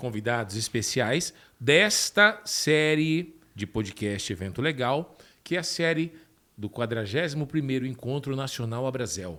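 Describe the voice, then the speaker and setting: A bright, sharp male voice at a fairly slow pace with very wide pitch swings, on a very clean recording with a silent background. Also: medium pitch for a man. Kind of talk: podcast host introduction.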